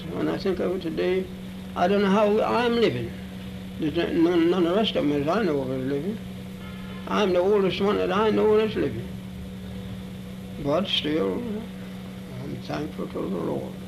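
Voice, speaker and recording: A man talks at a moderate pace with long, frequent pauses. Music plays in the background. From Virginia, United States. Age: 80s+. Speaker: former slave. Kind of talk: interview answer.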